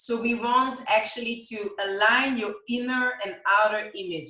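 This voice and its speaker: The voice belongs to a woman. Her pitch moves in an ordinary way. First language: not English. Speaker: image consultant and stylist. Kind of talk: live Q&A interview. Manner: halting, many fillers.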